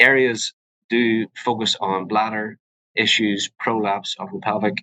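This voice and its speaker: A man's fairly low voice with a Northern Irish accent, bright and sharp in tone, at a fairly slow pace, in dry, close sound with no echo. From Northern Ireland. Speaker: physician (urogynecologist). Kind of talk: educational webinar presentation. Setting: live webinar. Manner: hesitant, many fillers.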